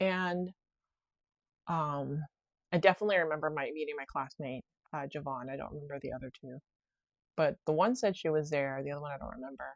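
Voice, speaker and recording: Fairly quick yet broken by long, frequent pauses, a woman's very deep, low voice shows ordinary pitch variation and big swings in loudness, with a dry, close sound and no echo. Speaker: podcast host. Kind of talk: casual personal monologue. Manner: fast.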